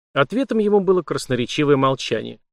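In a natural voice, the text is read aloud with lively intonation.

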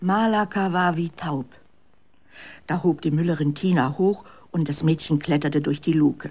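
A fairly slow pace, ordinary pitch variation and a slightly mellow tone.

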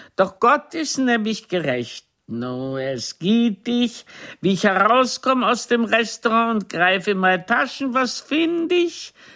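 A woman puts on a character voice, fairly high-pitched and fairly bright in tone, with big pitch swings. She talks at a slow pace with few pauses.

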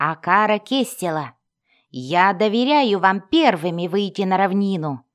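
Against a quiet background, the delivery is plain reading aloud.

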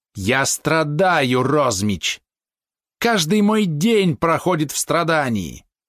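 A man's put-on character voice, fairly high in pitch with very wide pitch swings, at a fairly slow pace with hissing. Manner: hissing, anguished, self-pitying.

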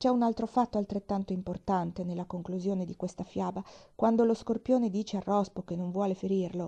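Reading done in a natural voice

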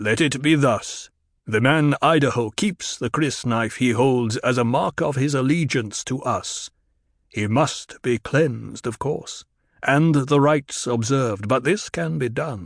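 In a quiet background with a dry, close sound and no echo, a man talks at a fairly slow pace with a medium pitch. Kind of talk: audiobook full-cast drama. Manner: proud, formal, unhurried.

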